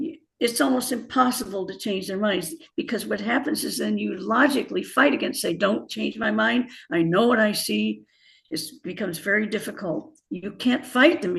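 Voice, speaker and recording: A woman with an American accent speaks at a moderate pace in a medium pitch, her lively intonation edged with vocal fry. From US Midwest, Indiana. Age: 80s+. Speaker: author and former bio-chemist. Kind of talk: interview.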